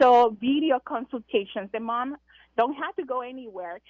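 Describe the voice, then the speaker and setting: A woman with a Spanish accent speaks in a high pitch. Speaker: breastfeeding consultant, business founder. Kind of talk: radio interview. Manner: hesitant, many fillers.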